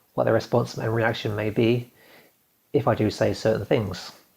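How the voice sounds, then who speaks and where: A man talks somewhat breathily. His pitch is medium. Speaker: video blogger. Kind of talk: reading aloud. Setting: recording to camera. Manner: fast; nervous.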